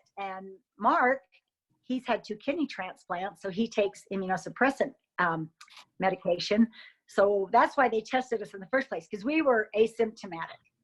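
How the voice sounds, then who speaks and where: With an American accent and lively intonation, an unremarkable speaking voice moves at a moderate pace over a quiet background. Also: woman, fairly high pitch for a woman. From Utah (Logan). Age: 60s. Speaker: coronavirus patient. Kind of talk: interview.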